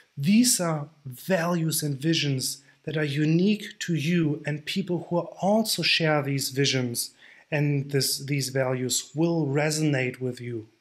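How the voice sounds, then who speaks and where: Against a silent background in a very clean recording, a man speaks at a fairly slow pace. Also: fairly high pitch for a man, ordinary pitch variation. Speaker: online nutrition coach. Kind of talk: tutorial.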